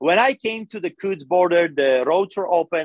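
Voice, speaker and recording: A man with a Polish accent talks at a moderate pace. His intonation is lively, and the sound is dry and close with no echo. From Poland. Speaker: pastor. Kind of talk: interview testimony. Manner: animated.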